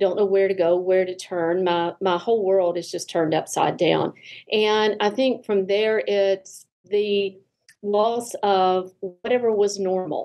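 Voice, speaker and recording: A woman talks at a fairly slow pace, her medium pitch carried on fairly even intonation. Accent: Southern US. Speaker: therapist. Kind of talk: podcast interview.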